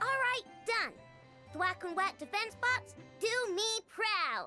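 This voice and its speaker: Using a put-on character voice, a woman speaks at an extremely high pitch and a fairly slow pace, with faint music in the background. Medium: video game. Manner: focused, self-assured.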